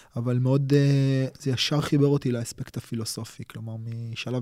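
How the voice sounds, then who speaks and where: The recording is very clean with a silent background. A man with a dark, mellow tone speaks at a medium pitch and moderate pace, with fairly even intonation. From Israel, Tel Aviv and Holon. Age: 40s. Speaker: martial arts instructor. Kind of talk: casual interview conversation. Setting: studio at his martial arts school.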